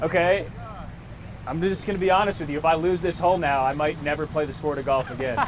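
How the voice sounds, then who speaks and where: Very fast, fairly high-pitched speech from a man, with ordinary pitch variation and noticeable noise in the background. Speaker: sports anchor and reporter. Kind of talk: TV sports anchor delivery, casual upbeat banter.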